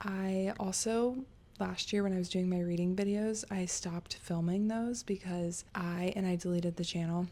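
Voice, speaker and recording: Soft-spoken, the voice has a dark, mellow tone. It moves at a moderate pace with fairly even intonation. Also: woman. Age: 30s. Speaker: book youtuber. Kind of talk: casual chat. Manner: rambling, chatty.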